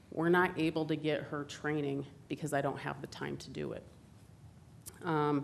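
Delivered at a moderate pace with vocal fry, the voice stays monotone and flat, with long, frequent pauses and audible room echo. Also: woman, very deep, low pitch for a woman. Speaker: police victim advocate. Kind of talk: staff presentation to council. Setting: council chambers.

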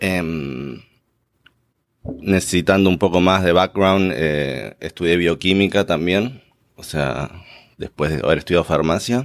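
At a very slow pace, a man with a very deep, low pitch and vocal fry speaks with ordinary pitch variation, long, frequent pauses and big swings in loudness on a very clean recording with a silent background. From Buenos Aires, Argentina. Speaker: graduate student, pharmacist. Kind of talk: interview. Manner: hesitant, many fillers.

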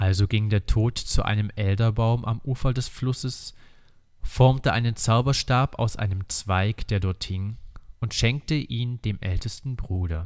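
The recording is very clean, with a silent background. A man speaks at a fairly slow pace in an ordinary speaking voice, at medium pitch with ordinary pitch variation. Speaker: audiobook reader. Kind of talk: reading aloud a fairy tale in a calm, storyteller's cadence, like a bedtime story. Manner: slow, measured and soothing, with a steady, warm narrative rhythm.

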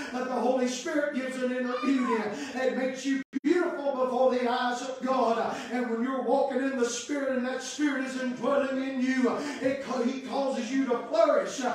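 A man with a Southern US accent speaks at a moderate pace in an extremely high pitch, his tone animated. There is light background noise and strong room echo. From US South, Kentucky. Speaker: Baptist preacher. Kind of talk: sermon, preaching to a congregation with call-and-response amens. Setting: church. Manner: fervent, animated, building up with exclamations of hallelujah and amen. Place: church. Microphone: camera far.

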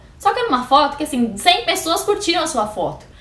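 Very fast and animated, a woman talks with very wide pitch swings, and audible room echo is present. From Brazil. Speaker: YouTuber. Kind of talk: casual vlog monologue. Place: home room. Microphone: webcam.

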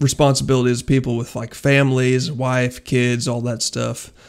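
A man's monotone, flat delivery at medium pitch and a moderate pace. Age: 20s. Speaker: YouTuber and police officer. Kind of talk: casual vlog monologue. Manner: casual, filler-heavy.

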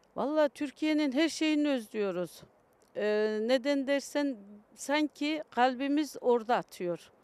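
A woman speaks very slowly in a high voice with lively intonation, the sound dry with no echo. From Kayseri, Turkey; France from age 9; Turkey. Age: 50s. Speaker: Turkish immigrant mother; interviewee. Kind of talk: street interview. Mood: warm, reminiscing. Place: open country. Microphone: handheld.

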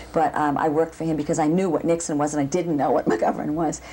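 A woman's very fast speech over light background noise. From Boston. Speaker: ballet dancer and dance professor. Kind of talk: interview. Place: home room.

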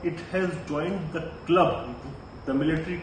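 Over noticeable background noise and audible room echo, a man speaks at a fairly slow pace. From India. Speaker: geopolitics commentator. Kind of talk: solo commentary video. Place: home room. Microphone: phone near.

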